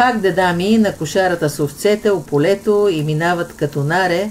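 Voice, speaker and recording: The speaker has a northwestern Bulgarian accent and talks at a moderate pace. Pitch variation is ordinary. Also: woman. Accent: Vratsa dialect. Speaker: cooking channel host. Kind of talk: folk joke telling.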